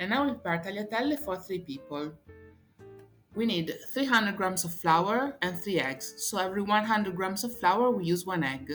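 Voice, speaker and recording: Music plays in the background as a woman speaks at a medium pitch with lively intonation. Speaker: tour guide and cooking presenter. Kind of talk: cooking tutorial.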